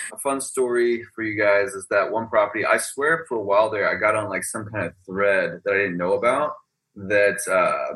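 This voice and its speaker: Fairly low in pitch, a man speaks at a moderate pace. His pitch variation is ordinary. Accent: American. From Texas. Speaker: real estate agent and short-term rental host. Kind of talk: casual interview. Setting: video call. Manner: animated.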